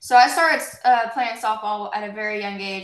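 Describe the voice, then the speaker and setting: With an American accent, a woman speaks at a fairly high pitch. Audible room echo surrounds her voice. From southern Indiana, US. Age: 20s. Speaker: former college softball player. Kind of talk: interview.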